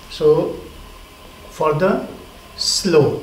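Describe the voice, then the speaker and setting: A man's voice comes through with noticeable background noise and audible echo from the room. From India, Bihar. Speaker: yoga teacher. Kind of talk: lecture.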